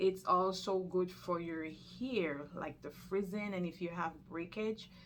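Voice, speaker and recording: Over noticeable background noise, a woman with a fairly low voice speaks fairly slowly with fairly even intonation. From Jamaica. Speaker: nurse and lifestyle vlogger. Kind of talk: health tutorial vlog. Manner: casual, conversational.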